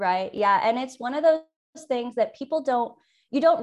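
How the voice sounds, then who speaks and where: Here a woman speaks at a fairly quick pace. Her intonation is lively. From US West Coast, San Francisco Bay Area. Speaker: financial advisor. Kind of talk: podcast interview.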